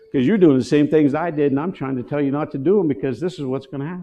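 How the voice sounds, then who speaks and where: A man's fairly high voice with a dark, mellow tone and vocal fry. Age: 60s. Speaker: missionary ministry leader. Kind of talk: sermon.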